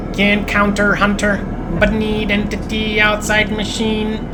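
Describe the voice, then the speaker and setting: A female-sounding, whiny put-on character voice at medium pitch moves at a fairly slow pace over loud background noise. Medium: game stream. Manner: clipped, broken phrases.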